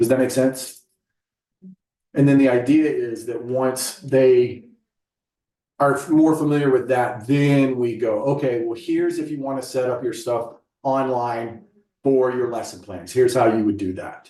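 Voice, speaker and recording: A man with a dark, mellow tone and medium pitch speaks at a moderate pace with fairly even intonation and long, frequent pauses, with audible room echo. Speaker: staff trainer. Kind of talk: staff training session. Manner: casual.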